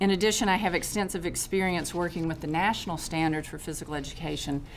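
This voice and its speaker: With a North Carolina accent, a woman talks at a very fast pace with a fairly low pitch, vocal fry and fairly even intonation, and the room echo is audible. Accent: Southern US (North Carolina). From US South, North Carolina. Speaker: retired physical education specialist. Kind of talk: public testimony. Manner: formal.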